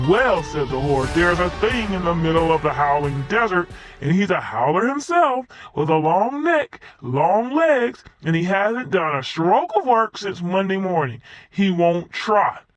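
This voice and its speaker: A put-on character voice at a middle pitch moves along at a moderate pace. Faint music plays in the background. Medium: read story.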